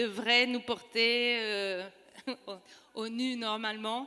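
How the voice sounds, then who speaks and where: Her voice sits high in pitch. The woman's intonation stays fairly even. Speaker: novelist. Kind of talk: panel discussion. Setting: stage with audience. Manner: halting.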